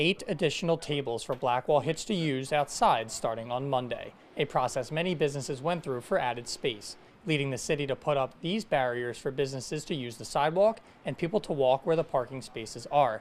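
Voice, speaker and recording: A man with an American accent has an ordinary speaking voice, fairly high in pitch with ordinary variation, at a fairly quick pace. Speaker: TV news reporter. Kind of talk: TV news reporter package and live shot.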